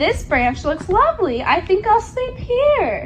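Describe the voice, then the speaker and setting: A woman uses a squeaky, put-on character voice at a fairly slow pace. Background noise is clearly audible. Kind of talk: bedtime story. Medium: read story. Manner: drowsy, polite.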